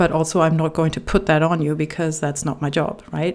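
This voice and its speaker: Against noticeable background noise, a woman with a non-native accent speaks in a very deep, low pitch with fairly even intonation. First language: not English. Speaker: relationship coach. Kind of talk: reading aloud with personal commentary.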